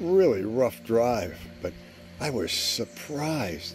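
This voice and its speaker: With music in the background, a man speaks very slowly in a dry sound with no echo. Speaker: video journal storyteller. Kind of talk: casual vlog chat. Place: garden. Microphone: phone near.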